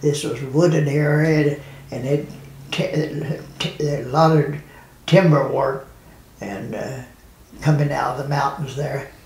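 Very slow speech with fairly even intonation and audible room echo. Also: man. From United States. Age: 80s+. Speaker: war veteran. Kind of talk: interview answer. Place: home room.

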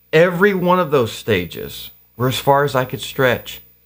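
The setting is quiet behind a man. He speaks at a moderate pace, with lively intonation. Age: 50s. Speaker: pastor and activist; pastor. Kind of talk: casual interview. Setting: home basement studio. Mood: reflective, earnest. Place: studio.

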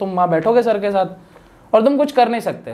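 A male voice is heard. He moves along at a medium speed. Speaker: legal YouTuber and course creator; legal YouTuber, course creator. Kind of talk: podcast interview. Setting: studio. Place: studio. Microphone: lapel.

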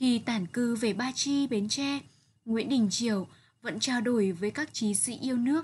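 In a normal speaking voice, a woman with a fairly high pitch talks at a fairly slow pace with ordinary pitch variation. The background is quiet. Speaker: literature teacher. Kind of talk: lecture.

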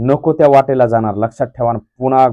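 A man speaks with fairly even intonation. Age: 30s. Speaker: YouTube vlogger. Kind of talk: video blog appeal to viewers. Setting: village construction site. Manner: impassioned.

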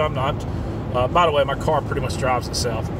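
Noticeable background noise accompanies a man whose pitch varies in an ordinary way, in a dry sound with no echo. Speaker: vlogger. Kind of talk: casual vlog chat. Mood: earnest, mildly exasperated. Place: car. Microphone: phone near.

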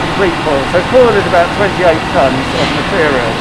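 A man speaks with ordinary pitch variation over loud background noise. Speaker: factory guide. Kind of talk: tour explanation. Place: factory. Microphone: phone near.

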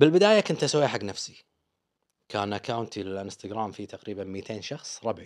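A man with a Kuwaiti accent at a fairly quick pace. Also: quiet background. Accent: Kuwaiti Gulf Arabic. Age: 40s. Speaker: travel vlogger. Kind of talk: interview. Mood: relaxed, humorous. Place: studio. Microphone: studio mic.

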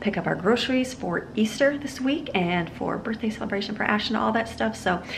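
A woman talks at a fairly quick pace. Noticeable background noise runs beneath her. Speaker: family vlogger. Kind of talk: casual vlog chat. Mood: cheerful, upbeat. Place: home room. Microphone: phone near.

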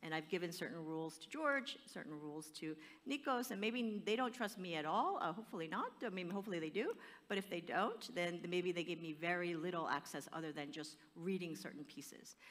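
A woman talks at a fairly quick pace with a fairly low pitch. Her intonation is lively. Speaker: guest. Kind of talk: panel discussion answer. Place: stage.

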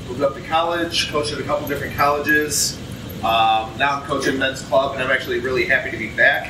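A man talks at a very fast pace with fairly even intonation. Noticeable background noise sits behind him. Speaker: rugby coach presenter. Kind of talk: lecture. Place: hall.

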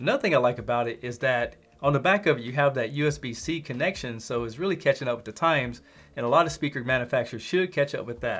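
Delivered at a fast pace, the voice has a fairly bright tone and ordinary pitch variation. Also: man, medium pitch for a man.

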